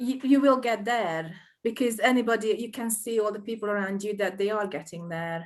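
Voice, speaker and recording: In a Hungarian accent, a woman speaks at a moderate pace and a fairly high pitch, with ordinary pitch variation. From Hungary. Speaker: small business owner. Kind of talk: interview. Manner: halting.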